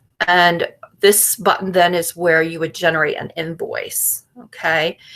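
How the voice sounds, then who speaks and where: Speaking at a fairly slow pace, a woman holds a monotone, flat intonation at a fairly low pitch. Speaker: speech and debate coach. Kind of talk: conference workshop presentation. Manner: halting, many fillers.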